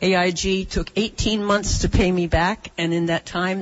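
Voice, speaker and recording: This woman has an unremarkable speaking voice at a fairly low pitch. She talks at a moderate pace with fairly even intonation. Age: 60s. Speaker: audience member at town hall. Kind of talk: public question at town hall. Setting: town hall meeting room.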